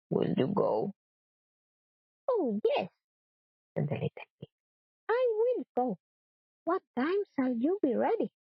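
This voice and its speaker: Long, frequent pauses and a very slow pace from a woman. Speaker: storyteller. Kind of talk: reading aloud. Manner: soft-spoken.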